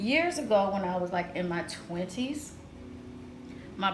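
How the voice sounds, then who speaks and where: Medium-paced female speech in an echoing room, noticeable noise in the background. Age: 40s. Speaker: lifestyle vlogger. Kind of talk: casual vlog monologue. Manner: loud; cackling laugh.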